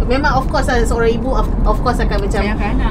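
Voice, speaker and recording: Loud background noise sits behind a woman's speech. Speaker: co-host. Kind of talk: casual commentary on viral news. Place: car. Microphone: phone near.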